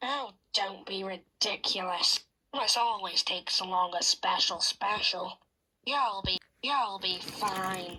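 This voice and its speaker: This is a put-on character voice that sounds female, pitched in the middle. It moves at a fairly slow pace. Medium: read story. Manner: eager, boyish.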